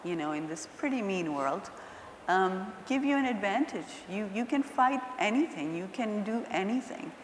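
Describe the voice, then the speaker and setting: Against noticeable background noise and audible room echo, a woman speaks at a moderate pace with lively intonation. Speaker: nonprofit executive director. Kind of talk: panel discussion. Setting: stage with audience. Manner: soft-spoken; getting louder.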